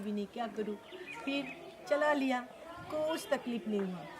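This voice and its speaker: A woman with a Bengali accent speaks over noticeable background noise. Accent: Bengali-accented Hindi. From Bengal, India. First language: Bengali (speaking Hindi). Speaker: social worker at a children's home. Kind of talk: interview.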